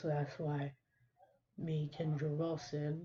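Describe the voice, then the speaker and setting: With an American accent, a woman with a very deep, low pitch speaks in a dark, mellow, somewhat breathy tone and monotone, flat intonation. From US Midwest, Omaha, Nebraska. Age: 20s. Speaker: rapper. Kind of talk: self-interview monologue. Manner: casual, rambling with filler words.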